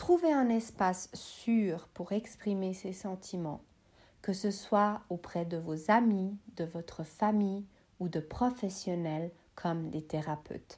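Recorded very cleanly with a silent background, the voice has a dark, mellow tone, ordinary pitch variation and a very slow pace. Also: woman, medium pitch for a woman. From Switzerland, Bosnian family background. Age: 30s. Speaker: psychology student. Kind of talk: scripted talk.

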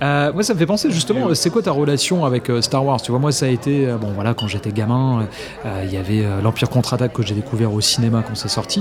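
Medium-pitched male speech, fairly quick, with ordinary pitch variation and noticeable background noise. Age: 40s. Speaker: voice actor. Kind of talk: casual chat.

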